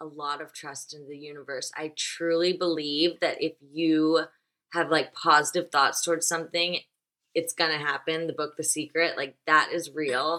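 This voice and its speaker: A woman with an American accent, very deep and low in pitch, bright and sharp in tone, with monotone, flat intonation, big swings in loudness and a moderate pace. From US South, Nashville. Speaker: fashion blogger and influencer. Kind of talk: casual interview chat.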